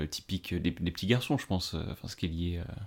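A man talks at a fairly quick pace. The recording is very clean, and the background is silent. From northeastern France, Ardennes. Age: 20s. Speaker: civil servant. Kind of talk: casual interview. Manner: halting.

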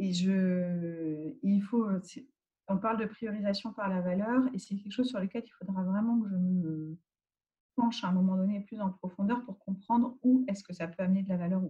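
A woman's dark, mellow, somewhat breathy voice at medium pitch, with ordinary pitch variation, big swings in loudness and a moderate pace. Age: 40s. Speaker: agile transformation manager. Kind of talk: interview. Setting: at home.

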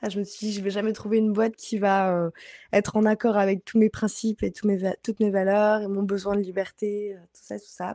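Recorded dry and close with no echo over a quiet background, a woman with medium pitch and a dark, mellow tone speaks fairly quickly in a flat monotone, her loudness swinging widely. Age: 20s. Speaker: Instagram coach and trainer. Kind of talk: interview.

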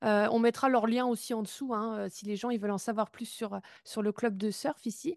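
A woman speaks in an ordinary speaking voice at a fairly high pitch and a moderate pace, with fairly even intonation. The sound is dry and close with no echo, over a quiet background. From Brittany, France. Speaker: podcast host. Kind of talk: interview podcast.

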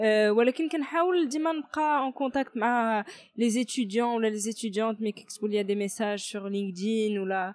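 A woman's unremarkable speaking voice, fairly high in pitch, with ordinary pitch variation, a fairly quick pace and hardly any pauses. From Morocco, Kenitra. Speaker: startup incubator director. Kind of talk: interview. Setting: in person.

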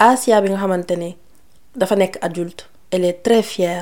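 A woman speaks at a medium pitch. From Senegal. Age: 30s. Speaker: podcast host. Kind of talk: casual Q&A monologue.

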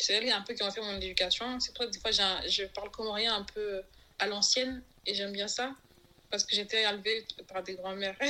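The tone is bright and sharp, at a fairly quick pace. Intonation stays monotone and flat. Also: woman, medium pitch for a woman. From Comoros. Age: 30s. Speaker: podcast guest sharing life story. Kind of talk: testimony interview. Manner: halting.

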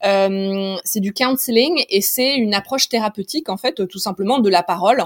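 A woman at a moderate pace, ordinary pitch variation, dry and close sound free of echo. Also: medium pitch for a woman. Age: 30s. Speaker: doula and yoga teacher. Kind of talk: interview conversation. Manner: hesitant, many fillers.

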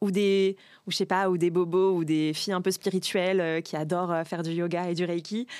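The recording is very clean, with a silent background. A woman speaks at a moderate pace and medium pitch in a monotone, flat intonation. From Paris suburbs, France. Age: 30s. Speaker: social media content creator. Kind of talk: casual chat.

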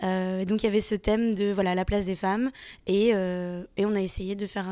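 A woman with a dark, mellow tone speaks at a fairly quick pace in a flat monotone, in a very clean recording with a silent background. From France. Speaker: comics author. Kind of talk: interview. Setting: festival.

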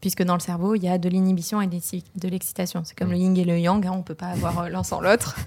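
A woman with a southern French accent speaks at a very fast pace with hardly any pauses, in a fairly low pitch and monotone, flat intonation. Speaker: PhD student in neuroscience. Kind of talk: casual interview.

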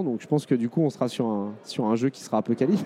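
Very fast speech from a man, dark and mellow in tone, with a dry, close sound and no echo. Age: 30s. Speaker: video game company co-founder. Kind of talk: interview at a trade show. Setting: trade show stand. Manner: hesitant, many fillers.

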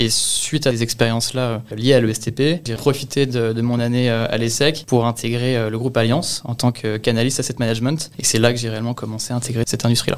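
A medium-pitched man speaking fairly quickly in a monotone, flat intonation, hardly any pauses, and noticeable background noise. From Normandy, Le Havre. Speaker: real estate asset management analyst. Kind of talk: interview testimony. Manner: hesitant, repeats words.

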